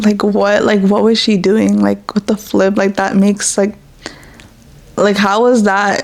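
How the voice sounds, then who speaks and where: Her pace is fairly slow and her loudness very even. The woman's medium-pitched voice stays monotone, with flat intonation. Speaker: podcast host. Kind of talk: casual personal talk. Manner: halting, stuttering.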